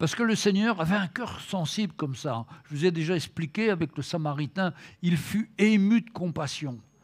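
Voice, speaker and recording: A man's high-pitched voice at a fairly slow pace with ordinary pitch variation, on a very clean recording with a silent background. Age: 70s. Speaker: preacher. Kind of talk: sermon. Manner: halting.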